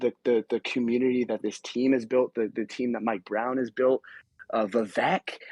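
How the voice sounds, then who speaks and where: Recorded dry and close with no echo, a man talks at a moderate pace and medium pitch with fairly even intonation. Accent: American. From Sacramento, California. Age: young. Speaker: caller. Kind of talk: casual chat.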